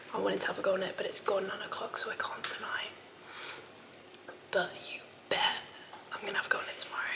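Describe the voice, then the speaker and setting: Over noticeable background noise, the whispered speech moves at a moderate pace. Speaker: travel vlogger. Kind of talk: casual vlog narration. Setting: outdoors; in a hostel. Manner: soft-spoken.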